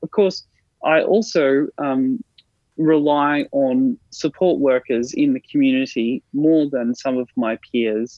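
With an Australian accent, a man talks at a very slow pace, his fairly high pitch carrying lively intonation. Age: 30s. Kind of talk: interview.

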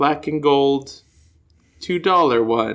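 With an American accent, a man speaks at a very slow pace in a bright, sharp tone with lively intonation. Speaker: podcast co-host. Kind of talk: casual chat. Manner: animated, expressive intonation.

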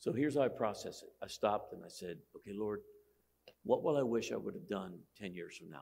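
Here is a man talking. His pace is fairly quick. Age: 60s. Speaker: pastor. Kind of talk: sermon.

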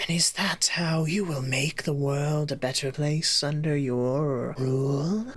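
A put-on character voice at a low-to-middle pitch moves at a fairly slow pace. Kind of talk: fantasy creature roleplay. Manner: calm, probing, questioning.

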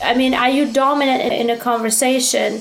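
In a room with audible echo and noticeable background noise, a woman speaks at a fairly quick pace with a high pitch. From immigrant to the US from another country. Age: 30s. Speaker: dating and status commentator. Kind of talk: interview.

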